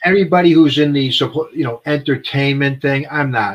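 A man's fairly high-pitched, an ordinary speaking voice, at a fairly quick pace. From New York (Bronx). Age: 60s. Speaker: horrorcore band singer. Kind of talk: casual chat.

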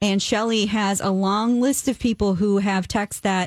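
On a very clean recording with a silent background, a woman with a normal speaking voice talks at a moderate pace and medium pitch, keeping her intonation fairly even. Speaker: real estate agent and radio host. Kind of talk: radio talk show. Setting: studio.

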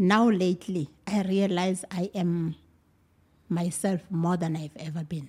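Speaking at a fairly slow pace, a woman has a fairly low, somewhat breathy voice with a dark, mellow tone and fairly even intonation. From South Africa, Mpumalanga. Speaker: teacher and mother. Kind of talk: casual chat.

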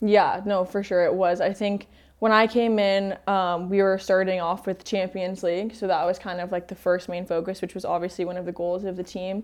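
A woman with an American accent, medium pitch, monotone, flat intonation, a moderate pace and hardly any pauses. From US, Denver. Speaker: footballer. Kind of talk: casual interview.

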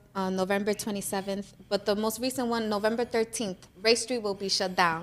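Speaking with a New York accent, a woman has a fairly high pitch. Her pitch varies in an ordinary way. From New York, the Bronx. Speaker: small business founder. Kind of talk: casual interview.

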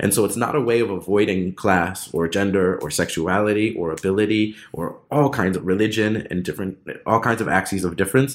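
A man with an ordinary speaking voice, fairly low pitch and ordinary pitch variation, at a fairly quick pace with hardly any pauses, in a very clean recording with a silent background. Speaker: academic author. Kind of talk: interview. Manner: formal, academic.

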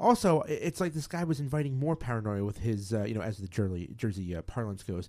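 The voice is loud and very fast, with very wide pitch swings. The recording is very clean, with a silent background. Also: man. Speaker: podcast co-host. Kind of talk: casual chat. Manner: fast, loud talker.

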